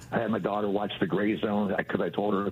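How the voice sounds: A man talks fast in a fairly low voice with fairly even intonation.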